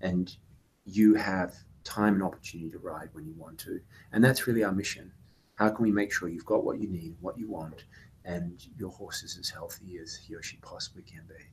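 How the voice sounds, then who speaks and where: A man with a fairly low, somewhat breathy voice speaks at a fairly quick pace, his intonation fairly even but his loudness swinging widely. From UK and Australia. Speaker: company CEO. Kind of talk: interview.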